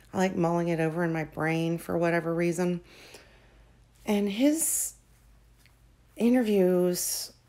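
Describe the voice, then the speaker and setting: Soft-spoken and fairly slow, a woman with a fairly low, dark, mellow voice shows ordinary pitch variation and leaves long, frequent pauses. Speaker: true crime commentator. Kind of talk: casual commentary. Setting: at home at night. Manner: soft-spoken, speaking quietly.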